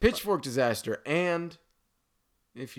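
An unremarkable speaking voice, a man's, moves at a moderate pace with lively intonation. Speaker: podcast guest. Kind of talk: casual chat.

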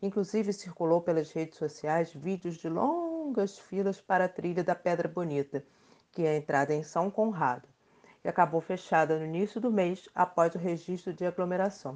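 Over a quiet background, a woman with a plain, everyday voice speaks at a moderate pace and fairly low pitch, with ordinary pitch variation. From Rio de Janeiro, Brazil. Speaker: podcast host, journalist. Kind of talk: scripted podcast conversation.

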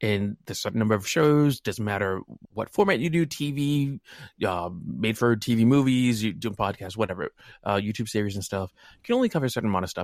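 Speaking very fast with an American accent, a man at medium pitch uses lively intonation on a very clean recording with a silent background. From New England, US. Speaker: wargaming podcaster. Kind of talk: casual chat.

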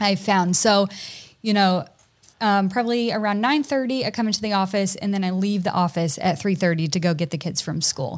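A woman with an American accent speaks in a normal speaking voice at a fairly quick pace. Her pitch is medium, with ordinary pitch variation. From US South, Tennessee. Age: 30s. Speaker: content creator and photographer. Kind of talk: casual interview.

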